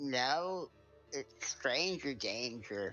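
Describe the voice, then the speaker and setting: Over music in the background, a man mumbles in a put-on character voice at a fairly high pitch. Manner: muttering, mumbling.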